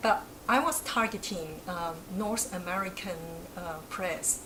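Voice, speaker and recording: Against noticeable background noise and audible room echo, a woman with a Chinese accent speaks at a medium pitch with ordinary pitch variation. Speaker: academic researcher. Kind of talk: interview.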